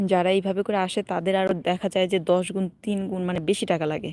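The recording is very clean, with a silent background. It is an ordinary speaking voice. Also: woman. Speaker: vlogger. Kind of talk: casual live stream chat. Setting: outdoors walking in a park.

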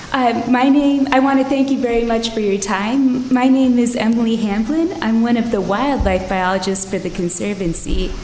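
Amid noticeable background noise and audible room echo, a woman speaks at a moderate pace in a fairly high pitch, with ordinary pitch variation and hardly any pauses. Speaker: wildlife biologist. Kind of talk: public comment at council meeting. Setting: city council meeting.

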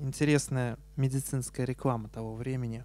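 Intonation is fairly even. The voice has a dark, mellow tone. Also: man, dry sound with no echo. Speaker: science journalist and author; science journalist. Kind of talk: lecture. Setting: stage with audience. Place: hall. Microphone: handheld.

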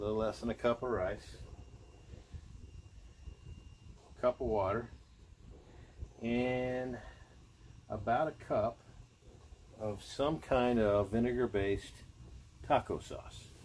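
Amid light background noise, a man speaks at a fairly slow pace with fairly even intonation and long, frequent pauses. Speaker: outdoor cooking vlogger. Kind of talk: casual cooking tutorial. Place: garden. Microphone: phone near.

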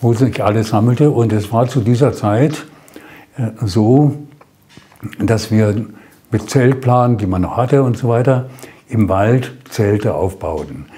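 A man speaks at a very slow pace with long, frequent pauses and ordinary pitch variation. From Germany. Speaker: war veteran. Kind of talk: interview answer. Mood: calm, reflective storytelling. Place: studio. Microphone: lapel.

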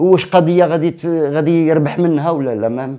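This man's voice has a fairly high pitch and a dark, mellow tone. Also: quiet background. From Morocco, Casablanca old medina; Morocco. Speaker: theatre director and actor; guest. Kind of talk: casual interview. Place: studio.

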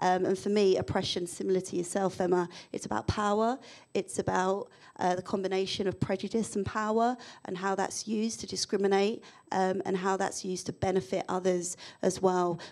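A woman talks at a fairly quick pace with a London accent. The background is quiet. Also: fairly even intonation. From London, England. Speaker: diversity and inclusion consultant; panelist. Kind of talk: panel discussion. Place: hall. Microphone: handheld.

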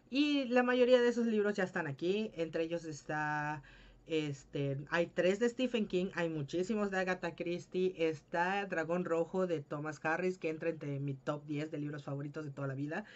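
A woman keeps up a moderate pace with lively intonation and hardly any pauses. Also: fairly low pitch for a woman. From Mexico, Yucatán. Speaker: book youtuber. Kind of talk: casual Q&A vlog. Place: home room. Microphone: webcam.

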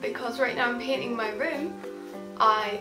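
A woman's high-pitched voice over clear music in the background. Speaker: vlogger. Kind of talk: casual talk to camera. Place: home room. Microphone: webcam.

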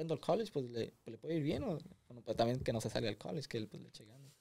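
With a dark, mellow tone and lively intonation, a man talks at a very fast pace. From Los Angeles, Mexican family from Nayarit. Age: young. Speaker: young entrepreneur; podcast guest. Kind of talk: interview, casual chat. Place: studio. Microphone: studio mic.

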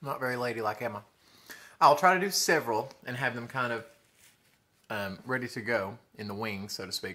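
With a Southern US accent, a man speaks at a fairly quick pace in a bright, sharp tone, his intonation lively, his loudness swinging widely, and his pauses long and frequent. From US South. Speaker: food vlogger; mukbang vlogger. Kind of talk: mukbang eating show. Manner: animated. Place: home room. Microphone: phone near.

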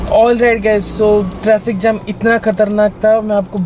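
Man at a moderate pace, dry sound with no echo, light background noise. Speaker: travel vlogger. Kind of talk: casual vlog chat. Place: car. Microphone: phone near.

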